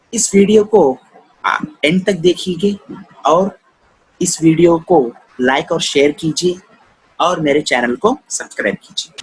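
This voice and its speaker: A high-pitched man speaks with lively intonation and long, frequent pauses. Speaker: network marketing business promoter. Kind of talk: business plan presentation.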